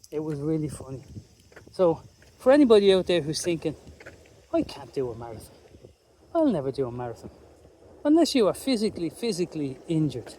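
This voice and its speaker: Talking very fast with an Irish accent, a man with a fairly high pitch makes very wide pitch swings and big swings in loudness, broken by long, frequent pauses. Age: 50s. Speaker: vlogger. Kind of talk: casual chat. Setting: outdoors. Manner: animated.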